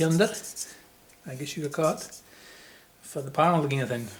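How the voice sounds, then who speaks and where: Someone speaks in a Shetland accent with noticeable background noise. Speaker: woodworker, furniture maker. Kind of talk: woodworking tutorial, casual talk to camera.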